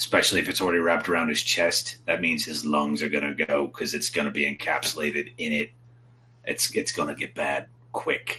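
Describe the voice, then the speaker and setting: A man uses a put-on character voice that is raspy and very deep. He moves at a fairly quick pace. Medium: actual play.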